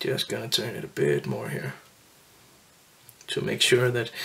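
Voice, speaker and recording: A man speaks at a moderate pace while noticeable background noise fills the recording. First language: not English. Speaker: fly tying instructor. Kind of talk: tutorial. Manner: hesitant, many fillers.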